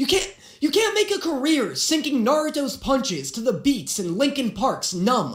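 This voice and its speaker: A moderate pace over noticeable background noise. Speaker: reaction youtuber. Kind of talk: reaction commentary. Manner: animated.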